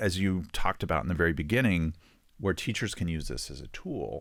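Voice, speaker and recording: A man talks in a very deep, low voice with vocal fry. The recording is very clean, with a silent background. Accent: slight West Texas. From West Texas. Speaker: children's book author. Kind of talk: interview.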